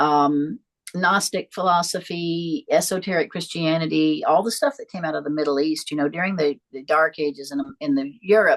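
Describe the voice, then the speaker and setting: A woman with an American accent at a moderate pace. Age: 60s. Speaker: psychic and priestess. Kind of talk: interview. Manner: halting.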